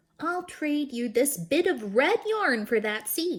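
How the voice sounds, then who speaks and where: A woman does a put-on character voice with a high pitch. It moves at a fairly slow pace with very wide pitch swings. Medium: read story.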